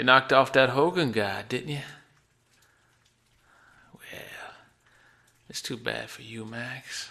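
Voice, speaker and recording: At a fairly slow pace with long, frequent pauses, the speaker puts on a raspy character voice. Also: man, medium pitch for a man. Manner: menacing, mocking.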